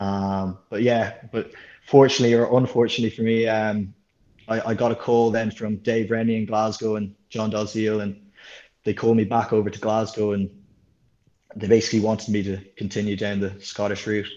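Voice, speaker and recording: With an Irish accent, a man speaks at a fairly low pitch in a dark, mellow tone. His delivery is fairly quick and his intonation monotone and flat. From Ireland, Dublin area. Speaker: professional rugby sevens player. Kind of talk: interview.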